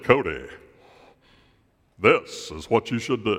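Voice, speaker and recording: A booming, put-on character voice. It moves at a fairly slow pace. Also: man. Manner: authoritative, grand.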